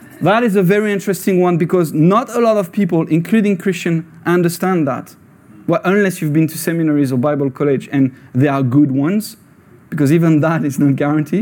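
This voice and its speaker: At a fairly quick pace, a man with a high voice speaks in an animated tone with ordinary pitch variation. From France. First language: French. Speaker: lay preacher. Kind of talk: sermon. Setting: church with audience.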